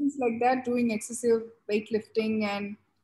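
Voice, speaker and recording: A woman talks at a moderate pace with a fairly high pitch and a somewhat breathy voice. The recording is very clean, with a silent background. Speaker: glaucoma surgeon. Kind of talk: panel discussion.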